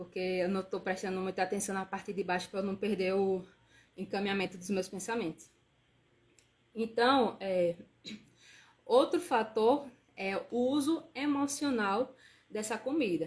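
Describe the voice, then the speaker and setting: A woman with a medium pitch speaks at a fairly slow pace, somewhat breathy, with ordinary pitch variation. She pauses often and at length. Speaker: nutritionist. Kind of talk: live stream talk. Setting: live stream.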